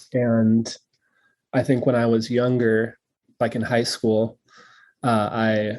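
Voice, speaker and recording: A man speaks at a medium pitch in a flat monotone, very slowly, with long and frequent pauses. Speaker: filmmaker. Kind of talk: interview. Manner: stutters; many fillers and repetitions.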